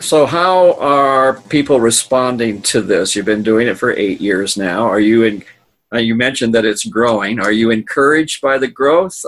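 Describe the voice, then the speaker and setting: A man talks at a moderate pace with a medium pitch. His is a plain, everyday voice, with ordinary pitch variation. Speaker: podcast host. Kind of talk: interview, ministry podcast.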